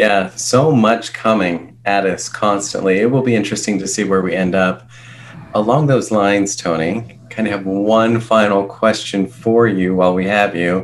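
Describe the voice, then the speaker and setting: A man's fairly low voice with ordinary pitch variation at a moderate pace, music playing in the background. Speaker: podcast co-host. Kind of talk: podcast hosting.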